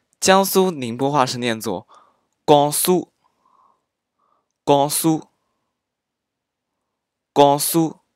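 A man at a very slow pace, fairly high in pitch with ordinary pitch variation and long, frequent pauses. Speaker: amateur dialect teacher. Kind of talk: dialect pronunciation lesson.

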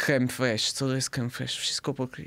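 A man speaks. He has an Italian accent. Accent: Italian accent in Polish. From southern Italy. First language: Italian (speaking Polish). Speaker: podcast guest, Italian living in Poland; podcast guest. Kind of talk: casual interview. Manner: halting, with many fillers. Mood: relaxed, friendly. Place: studio. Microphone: studio mic.

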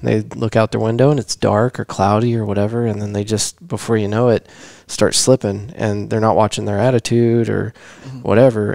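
In a quiet background with a dry sound and no echo, a man with a normal speaking voice talks at a fairly quick pace, his pitch fairly low and his intonation fairly even. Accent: American. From Texas. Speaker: podcast host. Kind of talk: casual chat. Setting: home living room. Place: studio. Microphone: headset.

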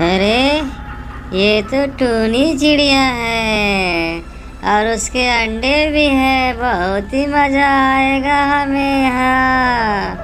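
A female-sounding put-on character voice speaks at a high pitch and a very slow pace. Clear background noise can be heard.

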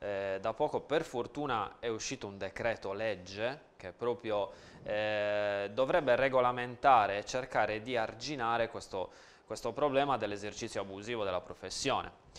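A man with a plain, everyday voice, medium in pitch, at a moderate pace with ordinary pitch variation. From Sardinia, La Maddalena; Sardinia. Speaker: nutritionist; guest. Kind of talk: TV interview. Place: studio. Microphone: lapel.

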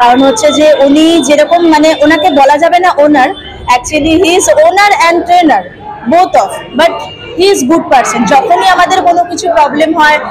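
A woman with a high pitch speaks at a fairly slow pace with few pauses and ordinary pitch variation. Faint crowd noise and faint background noise sit behind her.

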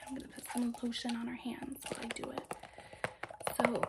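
Loud background noise surrounds a woman as she speaks. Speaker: ASMR creator. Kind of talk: casual ASMR chat, storytime. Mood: playful, animated. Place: home room.

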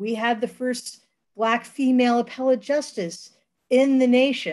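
The speaker is a woman. Her voice is high-pitched. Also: quiet background. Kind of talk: presentation. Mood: proud, upbeat. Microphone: webcam.

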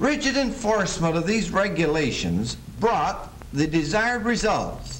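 A man's high voice, fairly slow and lively in intonation, over light background noise. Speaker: film narrator. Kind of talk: 1930s training film narration, formal and sermon-like. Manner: formal, measured, stately. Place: studio.

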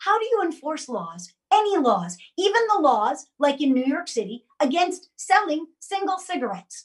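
In a quiet background, a woman speaks at a moderate pace. Her high voice swings very widely in pitch. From Jamaica. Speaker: actress and political candidate; actress, candidate. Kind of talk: casual political discussion. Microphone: video call.

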